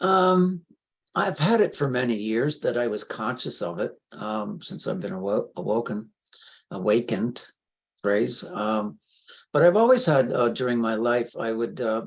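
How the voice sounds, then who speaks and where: A man at a fairly slow pace with very wide pitch swings. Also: medium pitch for a man. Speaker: spiritual healer and co-host. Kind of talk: casual chat. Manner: calm.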